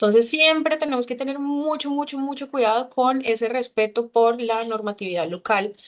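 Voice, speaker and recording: Speaking with hardly any pauses, a woman talks in a high pitch. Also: ordinary pitch variation. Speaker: consular official. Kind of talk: lecture. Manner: fast.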